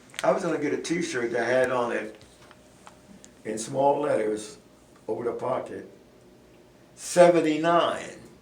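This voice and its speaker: With noticeable background noise and audible room echo, a man with a fairly high pitch speaks at a fairly slow pace, leaving long, frequent pauses. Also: ordinary pitch variation. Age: 80s+. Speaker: community elder on a church talk show. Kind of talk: casual talk show interview. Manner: halting.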